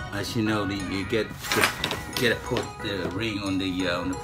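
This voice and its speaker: A man is speaking. Music plays clearly behind him. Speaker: home renovation vlogger. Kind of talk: casual vlog chat. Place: bathroom. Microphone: phone near.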